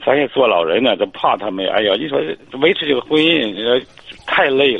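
Amid noticeable background noise, a man speaks at a moderate pace and medium pitch with lively intonation and big swings in loudness. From Hebei, China. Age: 50s. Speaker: caller. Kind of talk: call-in advice. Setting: phone call. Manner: halting.

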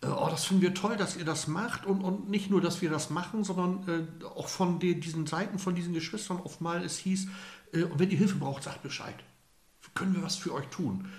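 A man's high-pitched voice with fairly even intonation, audible room echo and noticeable background noise. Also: moderate pace. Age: 50s. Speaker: lay priest. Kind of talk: interview.

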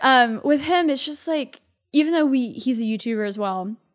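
Lively intonation marks a woman's unremarkable speaking voice, delivered at a moderate pace. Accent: American. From Texas, Dallas area. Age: 20s. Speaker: tech YouTuber. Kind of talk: casual chat. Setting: studio.

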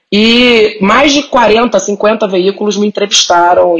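Over noticeable background noise, a woman's pitch moves in an ordinary way. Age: 30s. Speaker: content creator and writer. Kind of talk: casual chat.

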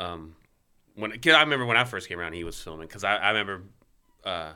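A man speaks with a very deep, low pitch and a bright, sharp tone, his pitch varying in an ordinary way. The recording is very clean, with a silent background. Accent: Southern US. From Mississippi. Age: 40s. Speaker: professional skateboarder. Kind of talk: casual chat.

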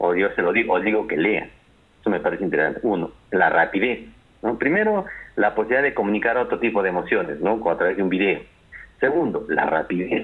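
A man talks at a very fast pace. His loudness stays very even. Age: 40s. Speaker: university lecturer and lawyer. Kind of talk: interview.

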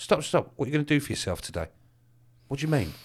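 A man speaks at a fairly high pitch with vocal fry. The recording is very clean, with a silent background. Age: 50s. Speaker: business mentor and speaker. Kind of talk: casual interview chat. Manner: animated.

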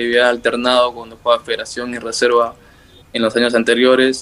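Fairly quick speech from a man at a medium pitch, with noticeable background noise. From northern Peru highlands (Cajamarca / La Libertad). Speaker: footballer. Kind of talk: interview.

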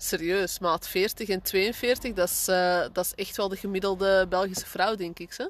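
An ordinary speaking voice at a fairly slow pace, with fairly even intonation and a quiet background. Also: woman, medium pitch for a woman. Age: 30s. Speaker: podcast co-host, mother. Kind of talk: casual chat.

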